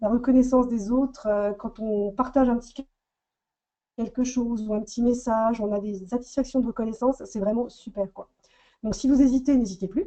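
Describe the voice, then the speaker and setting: At a moderate pace, a woman with a fairly high pitch and a dark, mellow tone speaks with fairly even intonation. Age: 40s. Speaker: makeup artist. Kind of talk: testimony.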